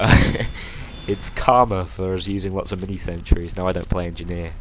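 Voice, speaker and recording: A man speaks with a British accent. His intonation stays fairly even. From northwest England, near Liverpool. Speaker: gaming YouTuber. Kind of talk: gameplay commentary. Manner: casual, hesitant with fillers.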